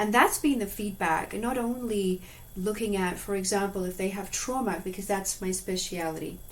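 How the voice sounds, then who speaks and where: Audible room echo and noticeable background noise accompany speech at a moderate pace with fairly even intonation. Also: woman, medium pitch for a woman. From Zimbabwe. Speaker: animal communicator and hypnotherapist. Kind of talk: interview.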